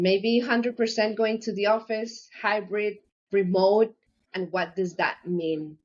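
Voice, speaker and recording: Delivered very slowly, the speech keeps a fairly even intonation. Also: woman. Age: 50s. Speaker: HR professional. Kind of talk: interview. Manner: halting.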